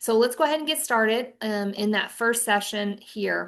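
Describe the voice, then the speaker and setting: Against a quiet background, a woman with an ordinary speaking voice talks at a fairly high pitch and a moderate pace. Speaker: financial advisor trainer. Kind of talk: webinar presentation.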